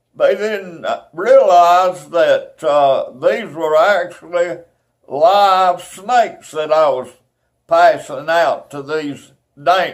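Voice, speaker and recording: On a very clean recording with a silent background, a man with an Alabama accent speaks at a very slow pace. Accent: Southern US (Alabama). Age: 80s+. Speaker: former eagle scout. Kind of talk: oral history storytelling. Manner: halting, with many fillers.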